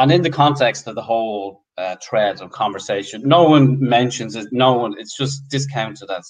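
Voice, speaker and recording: Against a quiet background, a man talks with an Irish accent. His intonation is lively, and his loudness swings widely. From Ireland. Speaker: football fan group co-founder; guest. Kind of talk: casual interview. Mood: animated, opinionated. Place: home room. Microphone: video call.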